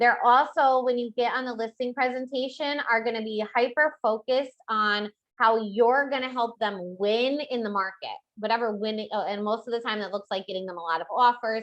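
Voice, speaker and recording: Fairly quick, fairly high female speech with ordinary pitch variation. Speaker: real estate trainer. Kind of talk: training webinar. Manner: fast; high energy.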